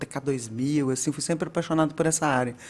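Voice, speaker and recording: Speaking at a fairly quick pace, a woman with a Minas Gerais accent uses a very deep, low pitch. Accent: Minas Gerais (mineiro). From Minas Gerais, Brazil. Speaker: data and analytics director. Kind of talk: casual interview chat.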